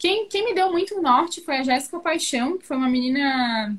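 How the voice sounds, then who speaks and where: A woman is speaking. Her voice is high-pitched. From Florianópolis, southern Brazil. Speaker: tattoo artist. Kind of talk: interview.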